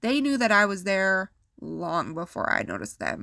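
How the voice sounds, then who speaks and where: Her voice has a bright, sharp tone and very wide pitch swings, and this woman speaks at a moderate pace in an American accent. The recording is very clean, with a silent background. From South Dakota, USA. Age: young. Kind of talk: personal story reading.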